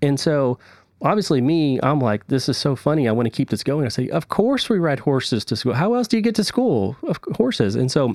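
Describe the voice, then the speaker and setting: A man with an American accent and a normal speaking voice, fairly quick pace and lively intonation, on a very clean recording with a silent background. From Texas. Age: 30s. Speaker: electrical engineer. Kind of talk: casual chat.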